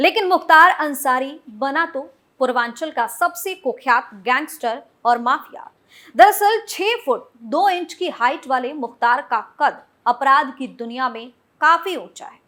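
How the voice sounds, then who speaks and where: A woman speaks in a raised, projected voice that is high-pitched, bright and sharp, with lively intonation and big swings in loudness. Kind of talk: TV news report narration.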